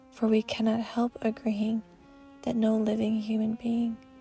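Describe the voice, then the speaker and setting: A woman speaks at a fairly slow pace with monotone, flat intonation and a fairly high pitch. Music plays in the background. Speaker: narrator. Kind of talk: poetry reading. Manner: soft-spoken.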